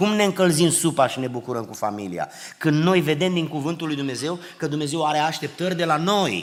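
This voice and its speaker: Animated in tone, a man with a fairly high pitch and vocal fry speaks at a moderate pace with lively intonation. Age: 60s. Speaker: preacher. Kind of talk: sermon. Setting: church.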